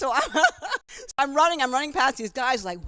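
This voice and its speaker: This voice is raised and projected, with a bright, sharp tone. Its intonation is lively and its tone animated. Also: woman. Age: 60s. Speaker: retired elite middle-distance runner and author. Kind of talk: casual interview at a book signing. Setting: store event with live audience, livestream. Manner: halting.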